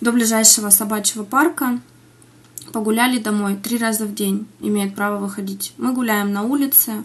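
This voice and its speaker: A woman speaks at a moderate pace with fairly even intonation. Light background noise sits behind her. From Siberia, Russia (Iskitim, Novosibirsk region); Siberia. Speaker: interviewee, mother living abroad; interviewee. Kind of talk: news interview. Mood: earnest, concerned. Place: home room.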